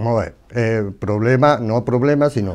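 A man's normal speaking voice at medium pitch, with ordinary pitch variation, a moderate pace and a quiet background. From Andalusia. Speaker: religious image carver; interviewee. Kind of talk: casual interview. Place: studio. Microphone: lapel.

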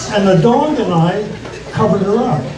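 Over noticeable background noise, a man speaks at a moderate pace in a high pitch. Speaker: stand-up comedian. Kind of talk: stand-up comedy set. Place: stage.

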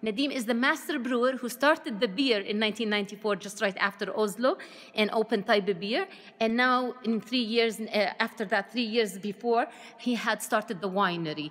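At a moderate pace, this woman speaks with ordinary pitch variation. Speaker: winery guide. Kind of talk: tour guide explanation. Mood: friendly, enthusiastic. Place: shop. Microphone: phone near.

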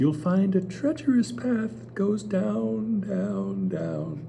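With clear background noise behind it, a put-on character voice at a middle pitch swings very widely in pitch. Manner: kindly, advising.

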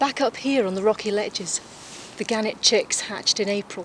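With a warm tone at medium pitch, a woman talks at a moderate pace over noticeable background noise. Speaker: TV presenter trainee. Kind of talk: nature documentary narration, scripted outside broadcast piece to camera. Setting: outdoors. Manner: clear, warm, polished presenter delivery; upbeat, engaging, lightly wry.

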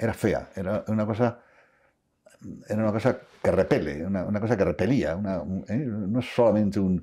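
Fairly low in pitch, this man has a dark, mellow tone. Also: quiet background. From La Rioja, Spain; Spain. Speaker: interviewee. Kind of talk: interview. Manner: halting, with many repetitions. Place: home room. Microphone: lapel.

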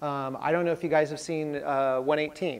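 The speaker is a man. His voice shows ordinary pitch variation. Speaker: presenter. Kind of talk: lecture. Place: classroom.

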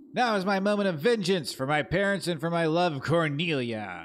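A man puts on a character voice at a high pitch. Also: moderate pace. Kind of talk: archaic, theatrical. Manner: vengeful, menacing.

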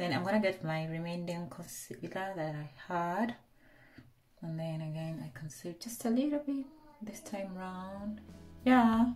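A woman speaks at a fairly slow pace with long, frequent pauses. Faint music plays in the background. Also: big swings in loudness. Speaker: beauty vlogger. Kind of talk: makeup tutorial chat. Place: bathroom. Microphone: phone near.

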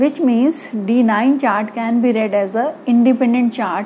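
There is a woman speaking over light background noise. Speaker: astrology teacher. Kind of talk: lecture. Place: home room. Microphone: lapel.

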